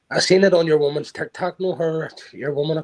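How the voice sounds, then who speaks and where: Talking at a fairly quick pace, a man with a Belfast accent keeps a fairly even intonation. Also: dry, close sound with no echo. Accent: Belfast Northern Irish. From Northern Ireland, Belfast. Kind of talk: casual chat.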